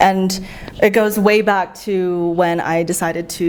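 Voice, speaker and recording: Her American accent carries a fairly low pitch for a woman and fairly even intonation. Noticeable background noise is present. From US West Coast, San Francisco. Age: 20s. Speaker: traveler, former policy worker. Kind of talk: casual interview chat.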